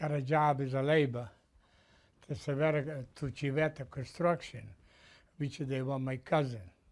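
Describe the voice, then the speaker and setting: In an Italian accent, a man with a fairly high pitch and fairly even intonation speaks at a moderate pace, broken by long, frequent pauses. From Italy. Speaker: Italian immigrant, retired construction business owner. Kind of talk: oral history interview. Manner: halting.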